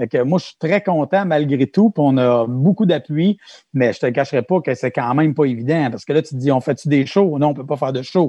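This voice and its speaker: In a dry, close recording with no echo and a quiet background, a man talks at a fairly high pitch with a dark, mellow tone and ordinary pitch variation. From Quebec, Mauricie/Centre-du-Québec. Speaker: music teacher. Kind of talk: casual interview.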